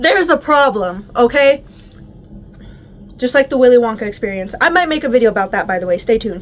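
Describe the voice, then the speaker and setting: Against noticeable background noise, a woman talks in a high pitch with an animated tone and lively intonation. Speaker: YouTuber reviewing a TV series. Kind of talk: casual vlog review.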